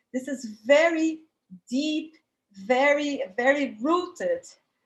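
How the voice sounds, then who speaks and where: A woman with a Brazilian accent at a very slow pace. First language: Portuguese. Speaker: academic panelist. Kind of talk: panel talk. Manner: hesitant, with fillers.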